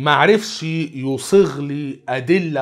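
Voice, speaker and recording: At a very slow pace, the speech comes with an Egyptian accent against a quiet background. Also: man. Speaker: Islamic preacher. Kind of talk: religious lecture. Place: studio.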